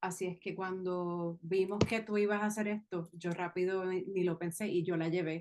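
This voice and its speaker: Flat, monotone female speech at a medium pitch. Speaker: podcast host. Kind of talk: interview.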